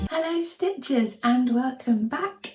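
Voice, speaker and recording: With lively intonation and a fairly slow pace, a woman speaks over noticeable background noise. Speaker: cross-stitch video creator. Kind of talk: casual monthly progress vlog. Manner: hesitant, many fillers.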